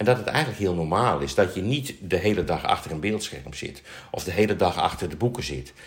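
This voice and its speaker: A man speaks with vocal fry. His pitch is fairly low. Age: 60s. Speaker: nurse. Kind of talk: casual chat. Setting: studio. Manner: halting.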